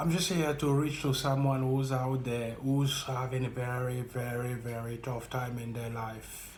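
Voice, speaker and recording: A man with a French accent, a medium pitch, monotone, flat intonation, a fairly slow pace, and hardly any pauses, over noticeable background noise. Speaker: vlogger sharing personal experience. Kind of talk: motivational monologue.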